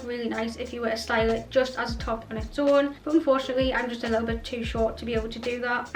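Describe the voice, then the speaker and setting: Over noticeable background noise, a woman speaks very fast in a high, monotone, flat voice. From North East England. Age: 20s. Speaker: fashion YouTuber. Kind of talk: casual talk to camera.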